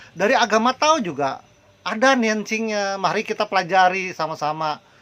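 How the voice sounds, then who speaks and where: Intonation is lively in this man's speech. The pace is moderate. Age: 60s. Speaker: Buddhist preacher. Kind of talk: religious talk. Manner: hesitant, many fillers.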